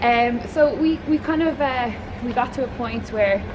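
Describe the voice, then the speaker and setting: With a strong Dublin accent, a woman talks at a fairly high pitch with ordinary pitch variation over noticeable background noise. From Ireland, Waterford. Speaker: podcast host and TV panelist. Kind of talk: casual interview. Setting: outdoors, walking in a city. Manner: emotive.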